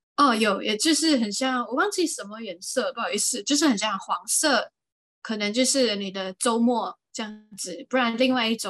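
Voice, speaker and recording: A woman's ordinary speaking voice, fairly high in pitch, with lively intonation, big swings in loudness and a moderate pace. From Malaysia, Johor. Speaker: podcast co-host. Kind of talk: casual chat.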